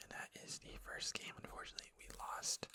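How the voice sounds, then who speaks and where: Whispering at a moderate pace amid noticeable background noise. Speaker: ASMR gaming content creator. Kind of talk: casual talk to camera, explaining a card game.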